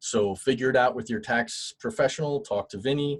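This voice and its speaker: A man talks at a moderate pace in a plain, everyday voice. His pitch varies in an ordinary way. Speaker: guest speaker on HR and unemployment. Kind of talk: webinar presentation. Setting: online webinar.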